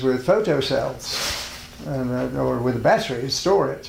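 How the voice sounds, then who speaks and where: The male speaker takes a fairly slow pace, his voice carrying audible room echo amid noticeable background noise. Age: 70s. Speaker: spiritual teacher and health food pioneer. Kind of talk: interview.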